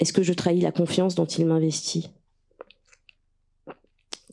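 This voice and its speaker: A woman speaks in a fairly low pitch with a dark, mellow tone and monotone, flat intonation. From Russia (Moscow), then France in childhood. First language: Russian (speaking French). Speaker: writer and translator. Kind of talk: reading aloud.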